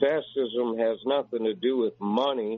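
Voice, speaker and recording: A man's voice over noticeable background noise. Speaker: caller.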